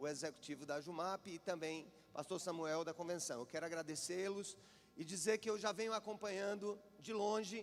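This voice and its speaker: With a Paraíba accent, a man speaks at a high pitch with ordinary pitch variation. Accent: Paraíba northeastern Brazilian. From Paraíba, Brazil (João Pessoa). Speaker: preacher. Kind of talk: sermon.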